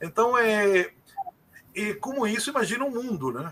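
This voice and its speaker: At a moderate pace, a high-pitched man speaks with lively intonation. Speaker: sociologist and political scientist. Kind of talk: interview.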